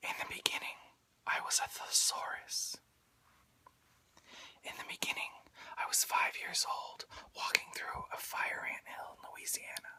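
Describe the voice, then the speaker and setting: Whispering at a fairly slow pace, with long, frequent pauses and noticeable background noise. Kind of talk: whispered poetry reading. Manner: whispered, soft-spoken, relaxing.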